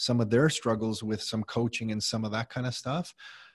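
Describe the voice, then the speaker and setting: The voice carries a Canadian accent and sounds somewhat breathy. The background is quiet. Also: man. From Canada, Mississauga (Greater Toronto Area). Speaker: real estate investor and entrepreneur. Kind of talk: interview.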